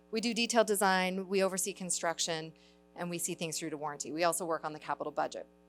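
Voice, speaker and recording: A woman with a fairly low voice and ordinary pitch variation speaks over background music. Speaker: landscape architect, city staff. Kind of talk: presentation. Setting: church hall with audience. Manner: loud.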